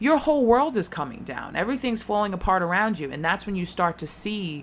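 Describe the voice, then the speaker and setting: A woman of medium pitch speaks in an American accent at a fairly quick pace. Her pitch swings very widely. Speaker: tarot reader. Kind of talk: tarot reading. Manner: fast; animated.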